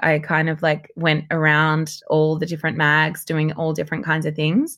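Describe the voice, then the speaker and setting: On a very clean recording with a silent background, a woman with a very deep, low pitch speaks with an Australian accent. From Sydney, Australia. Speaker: model, journalist and presenter. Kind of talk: casual chat.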